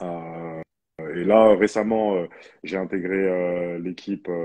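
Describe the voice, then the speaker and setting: In a dry recording with no echo and a quiet background, a man with a very deep, low pitch and a dark, mellow tone speaks at a very slow pace with fairly even intonation. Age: 30s. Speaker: professional basketball player and personal trainer; personal trainer. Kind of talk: interview. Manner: halting. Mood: relaxed, smiling. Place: home room. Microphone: connection problems; earbuds.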